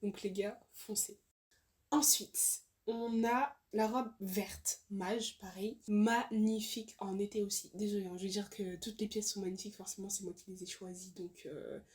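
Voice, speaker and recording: The voice is somewhat breathy. The pace is fairly slow. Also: woman, medium pitch for a woman. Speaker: fashion YouTuber. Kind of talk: casual haul video talk to camera. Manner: hesitant, many fillers.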